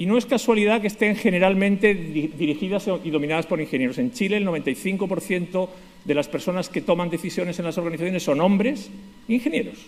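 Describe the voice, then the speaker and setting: Talking very fast, a man uses a high pitch with ordinary variation. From Spain, Basque Country (San Sebastián). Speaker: conference speaker, lawyer. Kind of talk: conference talk.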